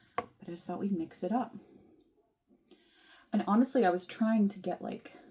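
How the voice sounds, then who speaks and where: A soft-spoken woman talks at a moderate pace. Her tone is dark and mellow, and somewhat breathy. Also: medium pitch for a woman, ordinary pitch variation. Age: 30s. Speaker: vlogger. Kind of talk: casual chat. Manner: mumbling.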